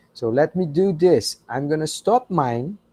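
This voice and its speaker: A man with a non-native accent, fairly high-pitched, with lively intonation, a dark, mellow tone and a very slow pace, in a dry, close recording with no echo, very clean against a silent background. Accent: non-native English speaker. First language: Portuguese. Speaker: university professor. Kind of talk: lecture. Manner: slow, careful pronunciation.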